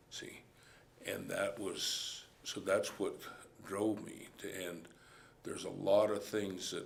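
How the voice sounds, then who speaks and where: A man with an American accent speaks very slowly, with long, frequent pauses and big swings in loudness, amid audible room echo. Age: 60s. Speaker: cowboy. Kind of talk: interview testimony.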